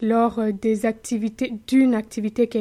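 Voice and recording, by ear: A woman's dark, mellow tone at a fairly high pitch and a moderate pace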